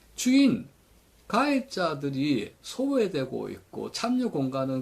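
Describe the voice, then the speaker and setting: A somewhat breathy man with very wide pitch swings. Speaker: retirement pension commentator. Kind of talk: commentary lecture.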